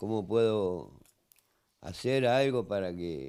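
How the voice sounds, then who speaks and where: Very slowly, a man speaks in a dark, mellow tone. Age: 70s. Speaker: grieving grandfather, retiree. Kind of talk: TV interview by phone. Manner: halting, repetitive.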